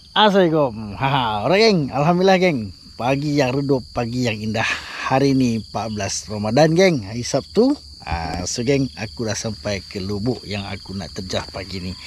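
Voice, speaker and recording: Very wide pitch swings from a man at a moderate pace, over noticeable background noise. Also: medium pitch for a man. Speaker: fishing vlogger. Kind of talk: casual outdoor vlog narration. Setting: outdoors by a ditch. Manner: animated.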